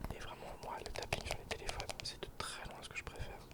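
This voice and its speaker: A man whispers at a fairly quick pace. Noticeable background noise sits under his voice. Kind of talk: ASMR whispered intro, casual talk to camera. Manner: improvised, casual, a bit awkward.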